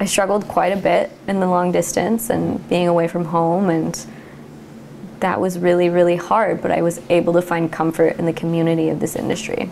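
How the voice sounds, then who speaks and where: Amid noticeable background noise, a woman with an American accent and a fairly low pitch speaks with fairly even intonation. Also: moderate pace. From US West Coast, California Central Coast. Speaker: winery cellar worker. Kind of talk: oral history interview. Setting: at home.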